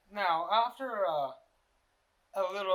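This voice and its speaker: This man mumbles his words. His intonation is lively. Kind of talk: casual unscripted vlog talk. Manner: mumbling.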